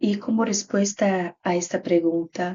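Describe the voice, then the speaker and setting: A woman with a Brazilian accent speaks at a very slow pace. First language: Portuguese (speaking Spanish). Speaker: graduate student researcher. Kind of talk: conference presentation. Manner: halting.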